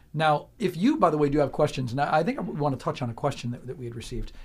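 Somewhat breathy and fairly high-pitched, a man speaks at a very fast pace. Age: 50s. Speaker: radio host. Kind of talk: radio interview. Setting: radio studio.

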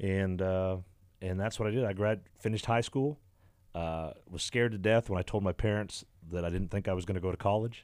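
An unremarkable speaking voice from a man, fairly low in pitch, with fairly even intonation, a fairly quick pace, and a very clean recording with a silent background. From Canada. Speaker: country musician. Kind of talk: casual radio interview. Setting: radio studio.

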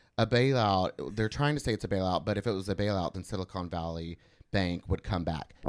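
The speech moves at a fairly quick pace. Its pitch varies in an ordinary way. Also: man, very deep, low pitch for a man. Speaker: podcast co-host. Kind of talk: casual chat.

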